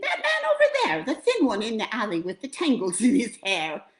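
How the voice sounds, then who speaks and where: A woman uses a put-on character voice with a high pitch. She speaks at a moderate pace. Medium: read story.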